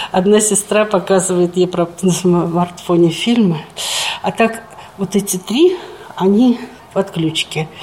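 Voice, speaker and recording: The woman here has a fairly low pitch and fairly even intonation. Noticeable background noise is present. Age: 70s. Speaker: retired nursing sister caring for her mother. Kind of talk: casual chat.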